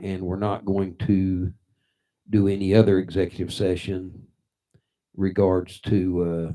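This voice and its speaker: On a very clean recording with a silent background, a man with an American accent speaks fairly slowly with long, frequent pauses, his voice very deep and low, his tone dark and mellow, his intonation monotone and flat. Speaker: city mayor chairing council meeting. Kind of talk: council meeting. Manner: halting, many fillers.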